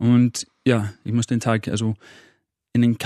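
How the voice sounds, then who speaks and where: In an English accent, a man talks at a fairly slow pace and a medium pitch, with a dry, close sound with no echo against a quiet background. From northern England, Manchester. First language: English (speaking German). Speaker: motivational coach. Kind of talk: podcast interview. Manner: halting, repeats words.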